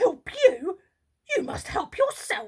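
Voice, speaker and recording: Here a woman uses a put-on character voice, gruff and extremely high-pitched. Her pitch swings very widely. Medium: read story. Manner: gruff, impatient.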